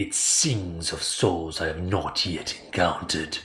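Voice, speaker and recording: A man's put-on character voice at a very slow pace, with faint music in the background. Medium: read story. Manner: slow, formal, softly spoken.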